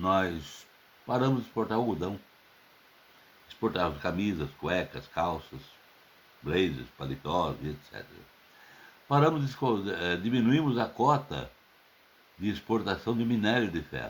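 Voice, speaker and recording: Pausing long and often, a fairly low-pitched man speaks fairly slowly with vocal fry and very wide pitch swings. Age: 70s. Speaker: political commentator. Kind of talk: open letter monologue.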